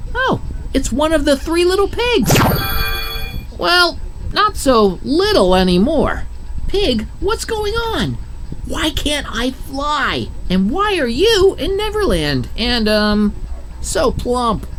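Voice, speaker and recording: A female-sounding, high-pitched put-on character voice speaks at a very slow pace with long, frequent pauses. Clear background noise runs underneath. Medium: video game.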